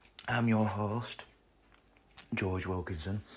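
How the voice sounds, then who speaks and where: Fairly slow and somewhat breathy, a man speaks with a fairly low pitch and fairly even intonation. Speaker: podcast host and amateur video creator. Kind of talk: casual solo podcast chat.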